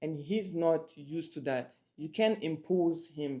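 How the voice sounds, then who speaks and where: A woman with a French accent speaks in a dark, mellow tone. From France. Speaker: couple vlogger. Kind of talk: casual chat.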